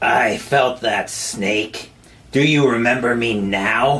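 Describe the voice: Putting on a robotic character voice, a man talks very slowly at a medium pitch.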